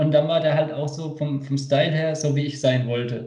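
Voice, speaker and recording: Fairly high-pitched yet dark and mellow in tone, a man's somewhat breathy voice carries audible room echo. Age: 20s. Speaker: skateboarder. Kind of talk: casual chat.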